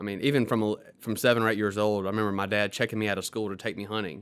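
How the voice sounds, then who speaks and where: Talking at a very fast pace, a man with a Mississippi accent has a fairly low pitch. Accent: Southern US (Mississippi). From US South, Mississippi Delta. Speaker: attorney. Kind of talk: podcast interview.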